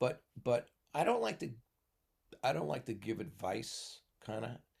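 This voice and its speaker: At a moderate pace, a man talks with lively intonation, medium pitch and vocal fry. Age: 70s. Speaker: retired teacher. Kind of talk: casual chat. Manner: halting.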